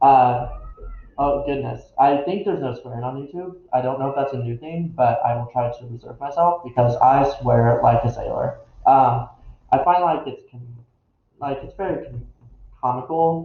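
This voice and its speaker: This man's somewhat breathy voice sits fairly high in pitch, moving at a moderate pace with ordinary pitch variation and big swings in loudness. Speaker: occult YouTuber. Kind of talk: casual vlog monologue. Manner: halting, many fillers and restarts.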